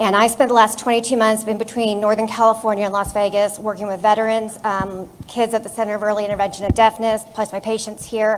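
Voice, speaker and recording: The woman's voice is fairly high and shaky. Her intonation stays flat and monotone. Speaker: audiologist. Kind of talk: audience question at town hall. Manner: shaky voice.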